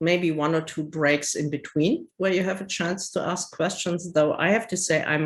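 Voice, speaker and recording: A woman with a German accent, at a fairly slow pace and with fairly even intonation. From Germany. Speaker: publisher. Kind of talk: presentation. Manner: halting.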